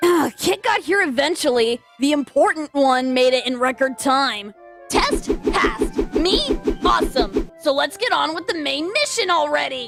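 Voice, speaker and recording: A female-sounding voice, high-pitched and put on as a character voice, moves at a moderate pace over clear music in the background. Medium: dub. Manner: cocky, aggressive.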